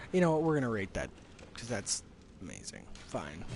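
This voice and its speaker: Over music in the background and audible room echo, a man with a medium pitch speaks with very wide pitch swings. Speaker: gaming streamer. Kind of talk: live gameplay commentary. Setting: live stream. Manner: halting.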